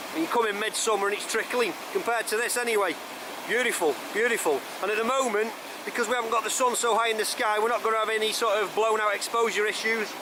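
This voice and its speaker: Very fast speech over noticeable background noise. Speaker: vlogger. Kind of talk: outdoor vlog chat. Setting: outdoors by a waterfall. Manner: loud. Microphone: camera mic with DIY muffler.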